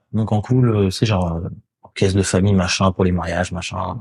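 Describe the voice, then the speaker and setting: A man speaks with a somewhat breathy voice. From Paris suburbs, France (Courbevoie). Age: 40s. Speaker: DJ. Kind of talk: casual chat.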